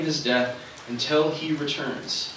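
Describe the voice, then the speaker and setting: A man amid light background noise, with audible room echo. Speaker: pastor. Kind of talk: sermon.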